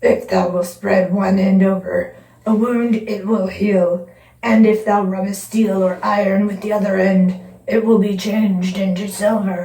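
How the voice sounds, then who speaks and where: A raspy, put-on character voice at a middle pitch, with slight echo. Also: moderate pace. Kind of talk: archaic fairy-tale speech. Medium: read story.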